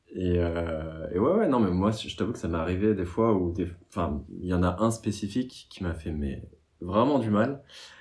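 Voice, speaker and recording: Pitch varies in an ordinary way as the voice keeps to a moderate pace. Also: man, very deep, low pitch for a man. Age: 30s. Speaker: meme account creator. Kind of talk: casual chat.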